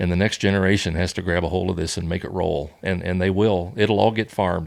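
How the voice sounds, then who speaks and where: On a very clean recording with a silent background, a man with a very deep, low voice talks at a fairly quick pace with fairly even intonation. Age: 70s. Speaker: farmer and Navy veteran. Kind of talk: interview. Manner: casual, hesitant with fillers.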